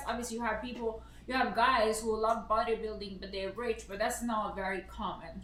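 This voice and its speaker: Against noticeable background noise and audible room echo, a woman with a Serbian accent talks at a fairly quick pace in a fairly high voice. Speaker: streamer's partner and co-host. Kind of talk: casual chat. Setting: live stream. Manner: blunt, direct.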